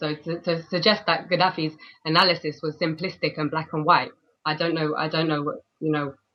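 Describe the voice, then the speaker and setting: A woman speaks in a London accent. Her pace is fairly quick and her intonation fairly even. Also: fairly low pitch for a woman. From London, England. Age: 20s. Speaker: freelance journalist. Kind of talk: interview. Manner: halting.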